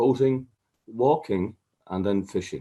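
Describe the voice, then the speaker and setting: In an Irish accent, a man speaks at a fairly slow pace. His tone is dark and mellow, with lively intonation. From Ireland. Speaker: water safety chief executive. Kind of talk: conference presentation. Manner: hesitant, many fillers.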